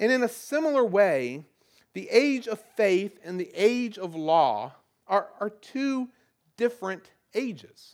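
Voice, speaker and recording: The voice has a Southern US accent. The pace is very slow. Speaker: pastor. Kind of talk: sermon.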